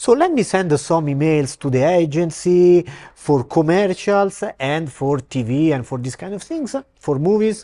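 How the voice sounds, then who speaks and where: A man in an Italian accent, dark and mellow in tone, fairly slow, with lively intonation against a quiet background. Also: fairly high pitch for a man. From Italy, Rome. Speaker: actor and film director. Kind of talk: interview. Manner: halting.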